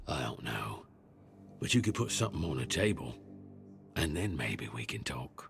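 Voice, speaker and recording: Over clear music in the background, a man in a put-on character voice speaks at a moderate pace with long, frequent pauses, his very deep, low pitch rumbling. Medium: video game. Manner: grumbling, rambling.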